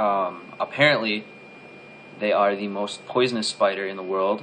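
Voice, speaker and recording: A man with an American accent speaks at a moderate pace and a fairly low pitch, with ordinary pitch variation. Noticeable background noise runs underneath. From Southwest Michigan. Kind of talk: casual talk to camera.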